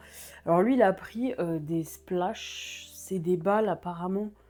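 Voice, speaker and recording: Over music in the background, a woman talks in a fairly low voice. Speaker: beauty and shopping vlogger. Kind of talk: casual haul vlog. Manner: casual, hesitant with many fillers.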